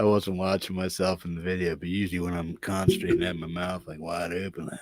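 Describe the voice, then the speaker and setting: A man mumbles very fast in a very deep, low pitch, his intonation monotone and flat while his loudness swings widely. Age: 50s. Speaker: channel owner and podcaster. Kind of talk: casual chat. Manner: mumbling. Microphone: testing new mic setup.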